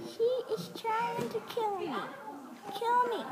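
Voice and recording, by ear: Over loud background noise, a woman performs a put-on character voice at a fairly slow pace.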